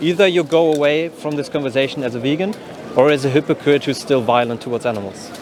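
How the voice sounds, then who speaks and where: A man at a very fast pace, fairly high in pitch, with ordinary pitch variation and noticeable background noise. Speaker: vegan street outreach activist. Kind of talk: street outreach conversation. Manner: direct, confrontational; halting, repetitive starts.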